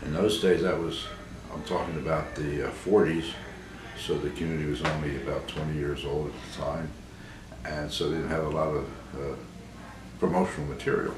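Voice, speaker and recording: A man with an American accent and a very deep, low pitch, at a fairly quick pace with fairly even intonation and long, frequent pauses, amid noticeable background noise and audible room echo. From US, Baltimore, Maryland. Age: 80s+. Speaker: priest. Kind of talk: interview testimony. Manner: halting, many fillers.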